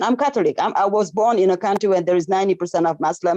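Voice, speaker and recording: At a very fast pace, a woman speaks at a medium pitch in a French accent, her tone dark and mellow. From Senegal. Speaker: medical professional. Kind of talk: casual chat. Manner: animated.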